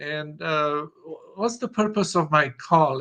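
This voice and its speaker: A man with a Romanian accent speaks slowly-ish at a fairly slow pace, his fairly high pitch carrying a bright, sharp tone. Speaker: customer of a sales platform. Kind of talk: business call. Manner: halting, many fillers.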